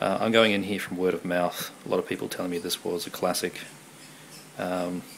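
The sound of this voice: At a moderate pace, a man talks with low pitch, a fairly bright tone, vocal fry and little pitch movement.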